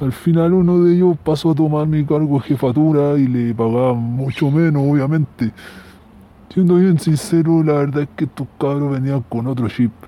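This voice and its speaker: Noticeable background noise sits under the voice. It moves at a moderate pace with ordinary pitch variation. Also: man, fairly high pitch for a man. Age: 40s. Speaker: unemployed operations manager, listener. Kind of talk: recorded voice message.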